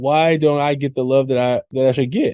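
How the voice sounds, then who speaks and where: Recorded dry and close with no echo, a man talks at a moderate pace in an American accent. His pitch is medium. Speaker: podcast host and educator. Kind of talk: podcast conversation.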